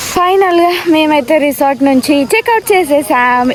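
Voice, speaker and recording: Through noticeable background noise comes a woman's high-pitched voice. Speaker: vlogger. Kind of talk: casual vlog narration.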